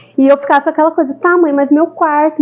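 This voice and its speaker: This woman speaks with a São Paulo accent. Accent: São Paulo (paulista). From São Paulo, Brazil. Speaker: architect, speaker. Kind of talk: talk to a group. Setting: live audience. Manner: casual, conversational.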